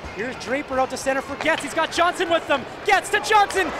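Over noticeable background noise, a man with an extremely high pitch sounds animated and excited. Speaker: hockey play-by-play commentator. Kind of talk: live hockey commentary. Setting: game highlights video with voiceover. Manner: rapid-fire, animated play-by-play that gets louder and more excited on goals; breathless, clipped phrasing.

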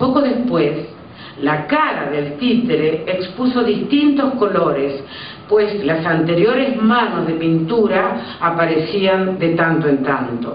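A woman speaks very slowly at a fairly low pitch, with audible room echo and light background noise. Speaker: storyteller reading at an event. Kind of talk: story reading. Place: stage.

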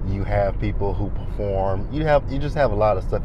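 A man talks at a moderate pace. The sound is dry with no echo, and there is noticeable background noise. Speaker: vlogger driving. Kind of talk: casual vlog chat. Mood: relaxed, upbeat. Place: car. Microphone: lapel.

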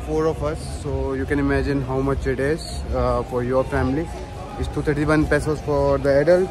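Clear music plays behind a man who speaks at a moderate pace. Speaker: travel vlogger. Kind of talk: casual vlog chat. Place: station. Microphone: phone near.

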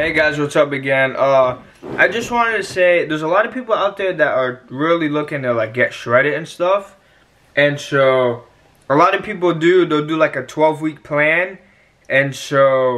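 In a bright, sharp tone, a man speaks at a moderate pace. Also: ordinary pitch variation. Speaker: fitness vlogger. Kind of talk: casual vlog chat with tips. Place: home room. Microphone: phone near.

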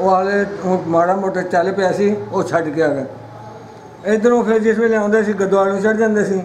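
A man's high-pitched voice with fairly even intonation, audible room echo and light background noise. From East Punjab, Ludhiana district; East Punjab. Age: 80s+. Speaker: partition witness. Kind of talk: oral history interview. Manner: halting. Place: home room. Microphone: phone near.

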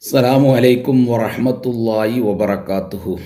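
A dark, mellow tone with audible room echo. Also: man. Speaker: religious commentator. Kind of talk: polemical video commentary. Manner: emphatic, indignant.

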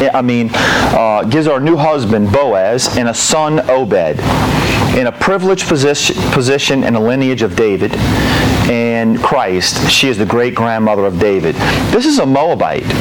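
The man's moderate-paced talking comes through with noticeable noise in the background. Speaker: pastor teaching a Bible study. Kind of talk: sermon. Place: hall.

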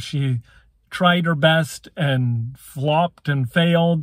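The sound is dry and without echo, over a quiet background. A man talks with ordinary pitch variation. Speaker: sports commentator vlogger. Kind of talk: casual commentary. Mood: opinionated, light laughs. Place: car. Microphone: phone near.

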